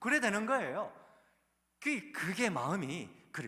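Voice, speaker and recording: Raising and projecting his voice, a man speaks at a high pitch with a Gyeongsang accent. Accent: Gyeongsang dialect intonation. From South Korea, Daegu (Gyeongsang). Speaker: pastor and seminary professor. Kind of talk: sermon. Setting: church service with congregation. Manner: conversational, engages audience.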